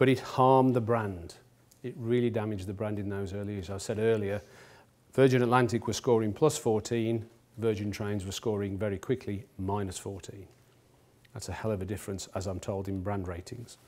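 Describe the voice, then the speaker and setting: Using an unremarkable speaking voice, a man talks at a moderate pace with fairly low pitch and fairly even intonation. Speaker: company executive lecturer. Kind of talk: lecture. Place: hall.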